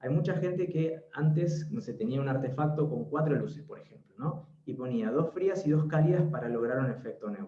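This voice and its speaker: A man with an Argentine accent talks in a fairly high register at a moderate pace. His loudness swings widely while his pitch varies in an ordinary way. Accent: Argentine Spanish (Rioplatense). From Argentina. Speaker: interior designer. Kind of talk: webinar talk.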